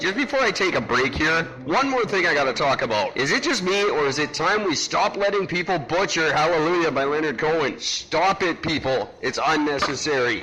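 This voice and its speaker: Against noticeable background noise, a man with a high pitch talks at a moderate pace with hardly any pauses, lively intonation and very even loudness. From Vancouver, Canada. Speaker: podcast host. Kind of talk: casual talk to camera, comedic monologue.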